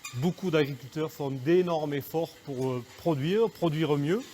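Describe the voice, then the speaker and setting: A man at a very slow pace. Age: 40s. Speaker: goat farmer. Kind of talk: interview. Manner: hesitant, many fillers.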